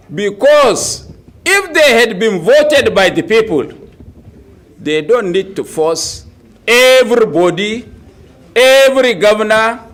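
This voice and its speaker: A high-pitched man speaks at a very slow pace with long, frequent pauses. His intonation is lively, and audible room echo is present. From Nigeria. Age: 70s. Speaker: opposition politician. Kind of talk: press conference speech. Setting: press conference.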